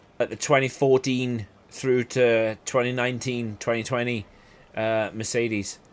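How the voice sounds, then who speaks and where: A man with a Welsh accent at a fairly slow pace, medium in pitch, his intonation monotone and flat. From South Wales. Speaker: gaming streamer. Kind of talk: gameplay commentary. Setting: live stream. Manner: casual, chatty.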